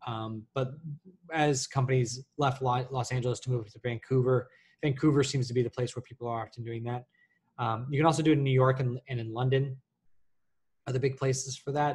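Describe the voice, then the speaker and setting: A man's somewhat breathy, medium-pitched voice at a fairly quick pace, with monotone, flat intonation. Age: 30s. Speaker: senior lighting artist. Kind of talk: live Q&A session. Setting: live stream on video call. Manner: halting with many fillers. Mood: relaxed, conversational. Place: home room. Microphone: webcam.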